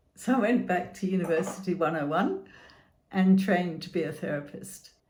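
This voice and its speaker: A woman's fairly low, dark, mellow voice with vocal fry and ordinary pitch variation, in audible room echo. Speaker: therapist and chronic illness channel host. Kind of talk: scripted channel introduction.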